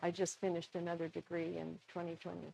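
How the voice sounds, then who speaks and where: A woman speaks at a fairly low pitch in an American accent. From Minnesota, US Upper Midwest. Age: 70s. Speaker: potter and former professor. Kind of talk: workshop presentation. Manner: conversational.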